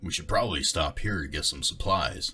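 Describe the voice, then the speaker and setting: Putting on a character voice, a man talks at a fairly quick pace. His voice is raspy and very deep. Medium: read story. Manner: gruff, blunt.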